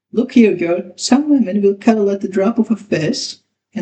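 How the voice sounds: A natural reading voice with ordinary pitch variation against a quiet background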